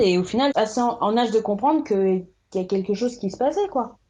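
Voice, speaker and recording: Over a quiet background, the speaker's tone is dark and mellow. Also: woman. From France, Caen (Normandy), adopted from Burkina Faso at two. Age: 20s. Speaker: instagram account creator. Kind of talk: personal testimony in interview. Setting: remote recording. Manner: halting, many fillers and repetitions.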